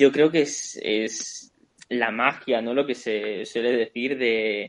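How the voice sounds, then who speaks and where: A man talks with flat, monotone intonation. His pitch sits in the medium range. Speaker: voice actor. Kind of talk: casual chat.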